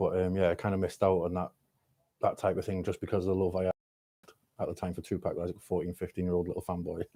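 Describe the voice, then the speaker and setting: Speaking with a Mancunian accent at a very fast pace yet with long, frequent pauses, a man uses a very deep, low pitch and a dark, mellow tone in flat, monotone delivery, recorded dry and close with no echo. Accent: Manchester English. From Swansea, Wales (born in Manchester). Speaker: rapper. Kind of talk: casual podcast interview. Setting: studio. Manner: hesitant, many fillers.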